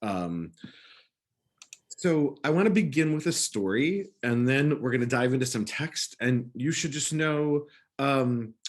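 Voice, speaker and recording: With a plain, everyday voice, a man speaks at a fairly slow pace, his fairly high pitch carried by lively intonation. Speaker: rabbi. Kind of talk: lecture.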